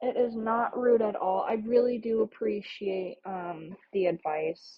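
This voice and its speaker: Speaking at a fairly slow pace, a woman holds a medium pitch that varies in an ordinary way. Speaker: art streamer. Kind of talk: casual live stream chat. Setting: live stream. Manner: halting.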